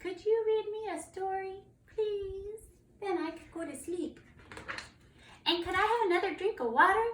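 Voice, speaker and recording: A squeaky, put-on character voice at an extremely high pitch, moving at a moderate pace with long, frequent pauses. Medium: read story. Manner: polite, wheedling.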